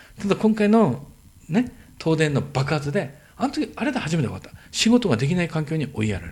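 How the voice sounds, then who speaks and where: Fairly high for a man, his voice shows very wide pitch swings and vocal fry. He talks at a fairly quick pace with big swings in loudness. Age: 50s. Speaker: entrepreneur. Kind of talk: casual chat.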